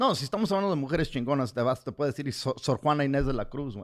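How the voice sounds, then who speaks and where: Lively intonation from a man at a medium pitch, on a very clean recording against a silent background. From US, raised by Mexican parents. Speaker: comedian and podcast co-host. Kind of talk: casual chat. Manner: halting, repeats words.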